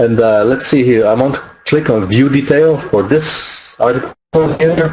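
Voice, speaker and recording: Over light background noise, a man with a French accent talks at medium pitch with very even loudness. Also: ordinary pitch variation, fairly slow pace. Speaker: online marketing webinar presenter; presenter. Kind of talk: webinar tutorial. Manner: halting, many fillers. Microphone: webcam.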